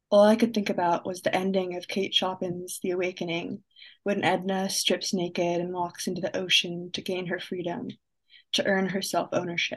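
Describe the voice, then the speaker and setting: A woman speaks at medium pitch and a moderate pace over a quiet background. Her intonation is monotone and flat. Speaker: young poet and writer, college student. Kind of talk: spoken word poetry reading. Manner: reflective, measured, dry-humored, poetic cadence.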